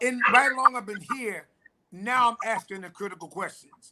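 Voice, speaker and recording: A man uses a raised, projected voice with a bright, sharp tone and fairly even intonation. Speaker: pastor. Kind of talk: testimony. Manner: loud.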